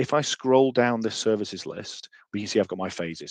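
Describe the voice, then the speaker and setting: A man speaks with a British accent. The sound is dry and close with no echo, over a quiet background. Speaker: software trainer. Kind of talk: webinar demonstration. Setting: online webinar. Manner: fast.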